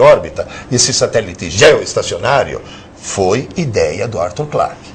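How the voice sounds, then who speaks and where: The voice belongs to a man. The room around him gives off audible echo. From Italy. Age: 60s. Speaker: professor. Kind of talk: lecture. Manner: animated.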